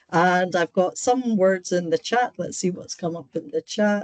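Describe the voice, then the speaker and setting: Speaking at a moderate pace in a Scottish accent, the woman has a medium-pitched voice captured with a dry, close sound and no echo. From Scotland. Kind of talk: online seminar lecture. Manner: direct, straight to the point.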